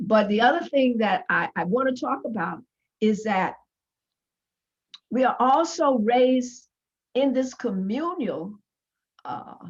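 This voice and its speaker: A woman speaks loud at a high pitch, with very wide pitch swings and long, frequent pauses. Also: fairly slow pace. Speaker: panelist, founder of a women's organization. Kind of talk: panel discussion.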